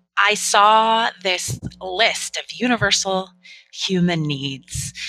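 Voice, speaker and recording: Despite music in the background, the sound of this woman with an American accent is dry and close, with no echo. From Northern California. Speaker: relationship coach. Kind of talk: interview.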